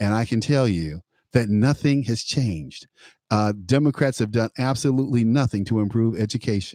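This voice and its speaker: In a dark, mellow tone, a man with an American accent speaks at a moderate pace and medium pitch, with ordinary pitch variation and very even loudness, the sound dry and close with no echo on a very clean recording with a silent background. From Chicago, US. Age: 60s. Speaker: radio talk show host. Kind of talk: political talk radio conversation. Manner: halting, many repetitions.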